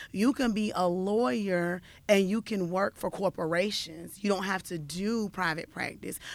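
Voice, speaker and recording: A woman's medium-pitched, normal speaking voice at a moderate pace with ordinary pitch variation, a normal speaking voice. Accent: American. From US South, Fayetteville, North Carolina. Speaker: social worker and nonprofit leader. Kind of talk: radio interview.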